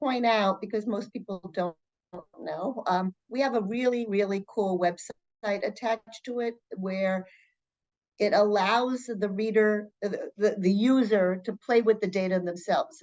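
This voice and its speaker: With a New York accent, a woman speaks at a moderate pace in a fairly high pitch with ordinary pitch variation, in a dry, close sound with no echo. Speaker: nonprofit executive. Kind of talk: interview.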